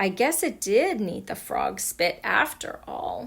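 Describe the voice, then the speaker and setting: Putting on a character voice, a woman speaks high and at a fairly slow pace. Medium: read story. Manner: chatty, self-satisfied.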